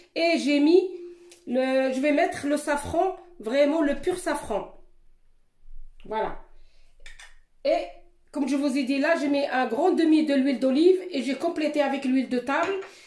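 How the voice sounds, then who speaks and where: With a high pitch and ordinary pitch variation, a woman speaks at a fairly slow pace. Her long, frequent pauses come through with audible room echo. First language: Moroccan Arabic (speaking French). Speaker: cooking youtuber. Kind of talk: cooking tutorial. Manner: halting.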